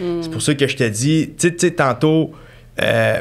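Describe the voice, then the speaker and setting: At a fairly slow pace, a man with a Quebec accent speaks with ordinary pitch variation. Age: 20s. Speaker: mortgage broker; podcast guest. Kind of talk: casual chat. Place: studio. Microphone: studio mic.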